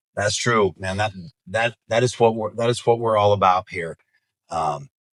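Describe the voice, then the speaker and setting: The very clean recording with a silent background carries a man's fairly low voice at a moderate pace, with ordinary pitch variation and a dry, close sound free of echo. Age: 40s. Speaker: podcast host, real estate agent. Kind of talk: casual chat. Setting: studio. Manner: animated.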